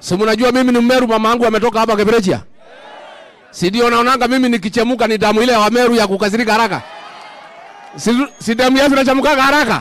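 Talking at a very fast pace, a man keeps his loudness very even and his intonation fairly even. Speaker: politician addressing rally. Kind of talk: political rally speech. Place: street. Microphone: handheld.

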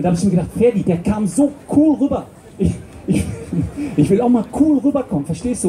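Over light background noise, a man talks at a fairly quick pace. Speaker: stage comedian. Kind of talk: comedy stage patter. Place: stage.

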